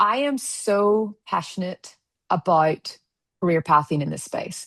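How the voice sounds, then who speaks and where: A woman speaks fairly slowly with an American accent. The sound is dry and close with no echo, and her pitch variation is ordinary. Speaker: founder and conversation series host. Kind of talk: interview conversation.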